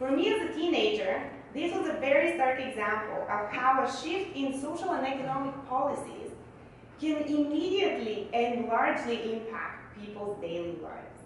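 A woman talks at a high pitch and a moderate pace, her pitch swinging very widely. Strong room echo and light background noise surround her. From Bulgaria. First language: Bulgarian. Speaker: economist. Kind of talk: speech. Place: hall.

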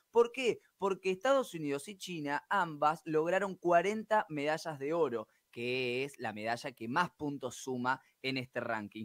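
A plain, everyday voice from a man, fairly high in pitch, with lively intonation at a fairly slow pace, the sound dry with no echo and the background quiet. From Argentina. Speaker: sports reporter. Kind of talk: sports news report. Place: studio. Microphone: studio mic.

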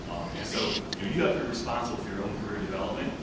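Amid loud background noise and audible room echo, a man talks at a very fast pace. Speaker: presenter. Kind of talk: lecture. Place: hall. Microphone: camera far.

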